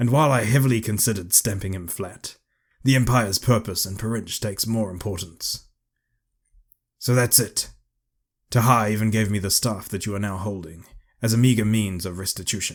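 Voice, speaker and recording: Doing a put-on character voice, a man sounds raspy and fairly low, moving at a fairly quick pace broken by long, frequent pauses. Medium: read story. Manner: formal, lecturing.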